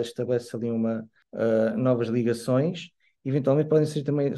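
At a moderate pace, a man with a medium pitch and a dark, mellow tone talks with fairly even intonation. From Algarve, Portugal. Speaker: musician and community organizer. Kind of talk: podcast interview. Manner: halting.

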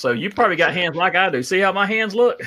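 A man in a Southern US accent, bright and sharp in tone, fairly quick in pace, on a very clean recording with a silent background. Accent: Southern US (Georgia). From South Georgia (Adel), US South. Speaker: podcast host, trucker. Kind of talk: casual interview.

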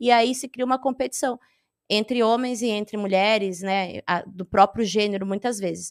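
Recorded dry and close with no echo, a woman with a slight gaúcho accent talks at a fairly high pitch and moderate pace. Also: ordinary pitch variation. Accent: slight southern Brazilian (gaúcho). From Rio Grande do Sul, southern Brazil. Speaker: stand-up comedian. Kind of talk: casual interview chat.

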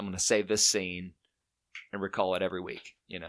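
In an Alabama accent, a man talks at a fairly quick pace, his fairly low voice held in a flat monotone. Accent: US Southern (Alabama). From Alabama, Chelsea in Shelby County. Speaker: musician. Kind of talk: casual chat.

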